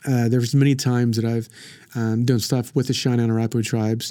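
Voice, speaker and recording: A man speaks with an Oklahoma accent in a dark, mellow tone. The recording is very clean, with a silent background. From southern Oklahoma (Frederick). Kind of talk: casual chat. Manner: halting, many repetitions and fillers.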